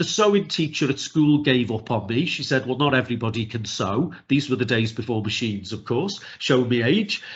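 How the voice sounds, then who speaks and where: A somewhat breathy man with a Liverpool accent, very wide pitch swings, a fairly quick pace and hardly any pauses. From northern England, Liverpool. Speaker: neurodiversity trainer. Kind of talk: webinar presentation. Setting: video call. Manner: fast.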